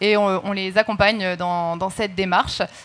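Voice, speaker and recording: Here is a woman with a plain, everyday voice at a medium pitch, speaking at a moderate pace with fairly even intonation. The recording is very clean, with a silent background. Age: 20s. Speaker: influencer marketing agency director. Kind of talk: panel discussion.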